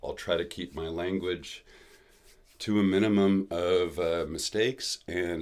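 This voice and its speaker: A man with a very deep, low voice speaks at a fairly slow pace. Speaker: craftsman presenting spinning wheels. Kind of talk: live stream product launch. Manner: halting, many fillers.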